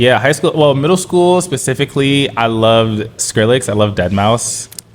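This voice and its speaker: In an American accent, a man with a medium pitch speaks at a moderate pace, with lively intonation and very even loudness. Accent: New York accent, comes and goes. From New York City (Bronx, then Brooklyn). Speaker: DJ and producer. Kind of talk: podcast interview. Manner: casual, hesitant with fillers.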